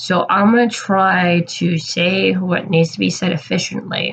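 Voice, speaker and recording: Somewhat breathy, a woman speaks at a fairly low pitch and a fairly slow pace. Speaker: YouTube commentator. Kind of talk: commentary monologue.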